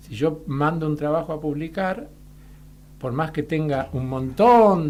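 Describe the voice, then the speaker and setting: Talking at a very slow pace, a man uses a fairly high voice with ordinary pitch variation. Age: 60s. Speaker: molecular biologist. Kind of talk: radio interview.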